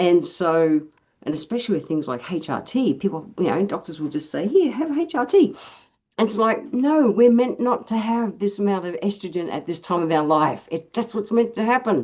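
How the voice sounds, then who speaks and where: Against a quiet background, a woman with an Australian accent talks at a moderate pace and medium pitch, her voice making very wide pitch swings. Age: 60s. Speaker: naturopath and osteopath. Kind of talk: casual health chat. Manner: animated.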